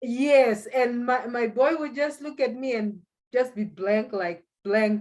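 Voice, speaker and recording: Speaking very slowly with a Zimbabwean accent, a woman uses a high pitch and ordinary pitch variation. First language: Shona. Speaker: economist and language school founder. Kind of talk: interview. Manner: halting.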